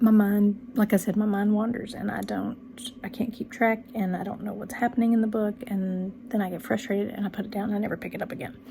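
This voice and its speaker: A woman with a Texan accent talks very fast at a fairly high pitch. Her intonation is monotone and flat. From Texas, rural area near Dallas. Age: 40s. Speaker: book channel vlogger. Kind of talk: casual vlog monologue. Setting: home bedroom. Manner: many ums and restarts.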